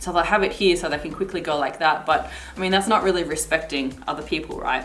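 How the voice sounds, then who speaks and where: Amid noticeable background noise and audible room echo, a woman with a fairly low pitch talks at a very fast pace with ordinary pitch variation. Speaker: vlogger. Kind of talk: product review. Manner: casual, chatty.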